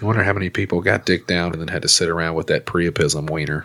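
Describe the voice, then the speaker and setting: A man with a Southern US accent talks at a very fast pace. His pitch is very deep and low, with fairly even intonation. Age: 30s. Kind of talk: casual comedic banter. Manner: joking, crude.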